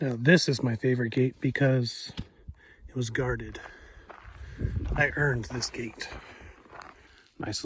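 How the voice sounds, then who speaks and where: A man of medium pitch speaks at a moderate pace with fairly even intonation. Long, frequent pauses break up his speech over noticeable background noise. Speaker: long-distance hiker vlogger. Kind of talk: casual vlog narration. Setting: outdoors on a trail.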